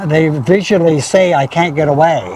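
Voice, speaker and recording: Over noticeable background noise, a man talks with a high pitch for a man. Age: 70s. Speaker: oxen farmer. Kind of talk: casual chat. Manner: halting.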